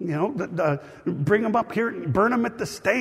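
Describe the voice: Plain reading aloud comes with lively intonation.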